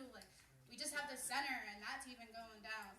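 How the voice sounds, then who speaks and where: With an American accent, a woman speaks at a fairly quick pace in a high pitch with ordinary pitch variation, and audible room echo surrounds her. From Pottstown, Pennsylvania. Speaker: community member. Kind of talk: public meeting speech.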